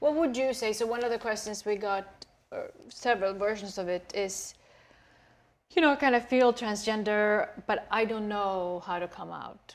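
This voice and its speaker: A woman speaks with a Swedish accent at a moderate pace. Her voice is fairly high, with ordinary pitch variation. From Sweden. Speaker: talk show host. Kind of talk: interview.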